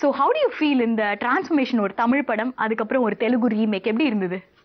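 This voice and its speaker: A woman speaks at a fairly high pitch. Noticeable background noise is present. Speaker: TV talk show host. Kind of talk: interview questions. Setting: studio.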